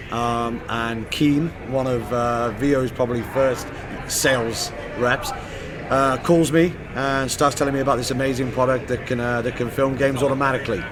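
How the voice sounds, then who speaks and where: A man's medium-pitched voice at a moderate pace, fairly even in intonation, with audible room echo and noticeable background noise. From southern England (Southampton). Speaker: sales manager, former soccer coach. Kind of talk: casual interview. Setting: live at a convention.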